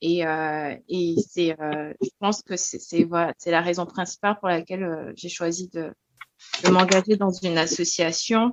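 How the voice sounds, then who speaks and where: A woman with a fairly low pitch talks at a fairly slow pace, her intonation fairly even. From Togo. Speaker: law graduate preparing the bar. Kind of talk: podcast interview. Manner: hesitant, many fillers.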